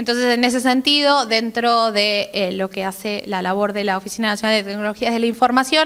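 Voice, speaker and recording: Speaking at a fairly quick pace with hardly any pauses, this voice shows ordinary pitch variation. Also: woman, fairly high pitch for a woman. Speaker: government technology official. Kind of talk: conference talk. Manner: fast.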